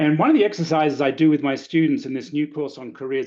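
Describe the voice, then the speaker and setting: In a quiet background, a man with an Australian accent speaks at a fairly high pitch. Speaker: lecturer. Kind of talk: webinar talk. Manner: conversational.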